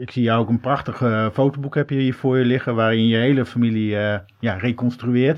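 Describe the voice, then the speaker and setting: Here is a man with a normal speaking voice and medium pitch. He talks at a fairly quick pace with fairly even intonation. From Netherlands, Groningen. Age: 40s. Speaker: podcast host, radio maker. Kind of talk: interview.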